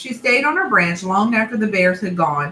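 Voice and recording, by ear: The speaker is reading aloud in a natural voice. The reading is delivered as written.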